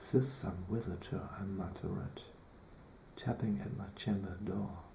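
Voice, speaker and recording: A man speaks very slowly with a non-native accent and a fairly low pitch. Noticeable background noise is present. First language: not English. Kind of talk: poetry reading.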